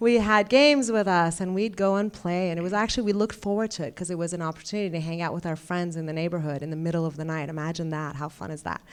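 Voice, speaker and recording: A woman with fairly low pitch, ordinary pitch variation, a very fast pace and hardly any pauses. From Iran. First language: Persian. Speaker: ophthalmologist. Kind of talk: speech. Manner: halting.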